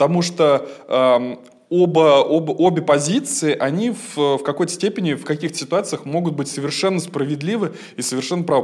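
There is noticeable background noise in this clip. A man talks at a fairly high pitch. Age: 20s. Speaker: stage actor and radio host. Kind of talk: casual chat.

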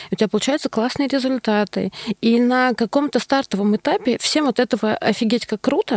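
Here a woman has a normal speaking voice, fairly high in pitch with ordinary pitch variation. She goes at a moderate pace, and the sound is dry and close with no echo. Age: 40s. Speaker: marketing executive. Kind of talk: casual chat.

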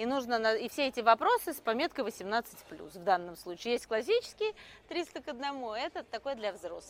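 Her voice is high-pitched, with lively intonation. This woman's loudness swings widely. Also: moderate pace, dry, close sound with no echo. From Russia, Moscow. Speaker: entrepreneur and quiz organizer. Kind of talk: casual talk at a live event. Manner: halting, many fillers.

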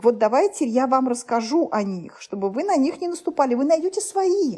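Her pitch is high and swings very widely. This woman speaks at a moderate pace. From Uzbekistan, Tashkent. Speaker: food journalist and TV presenter. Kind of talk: interview. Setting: call.

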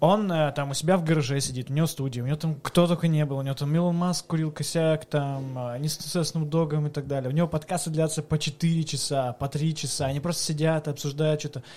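At a fairly quick pace, a man with a fairly high pitch speaks in a monotone, flat way, sounding somewhat breathy. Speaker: podcast host. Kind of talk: casual chat.

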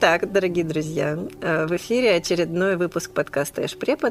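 Against noticeable background noise, a woman speaks at a fairly low pitch with ordinary pitch variation. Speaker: podcast host. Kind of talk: casual chat. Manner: fast.

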